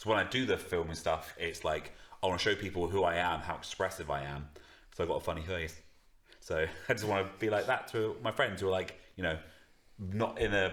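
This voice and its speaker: This man mumbles at a fairly quick pace. His very deep, low voice shows ordinary pitch variation. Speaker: musician and podcast co-host. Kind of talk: casual chat. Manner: mumbling; fast.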